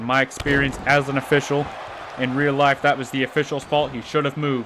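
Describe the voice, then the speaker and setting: A man speaks at a fairly quick pace in a fairly high pitch, his intonation flat and monotone, with crowd noise in the background. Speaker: gaming youtuber doing wrestling commentary. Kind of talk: live play-by-play commentary of a video game match. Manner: stumbling, stutters.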